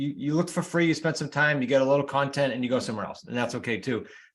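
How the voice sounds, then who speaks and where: A man's fairly high pitch with ordinary pitch variation, in a New England accent. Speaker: real estate coach and author. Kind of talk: interview. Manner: fast.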